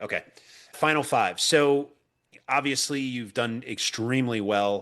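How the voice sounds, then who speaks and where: A man's unremarkable speaking voice at medium pitch, with ordinary pitch variation and a fairly slow pace. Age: 50s. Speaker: podcast host. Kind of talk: interview.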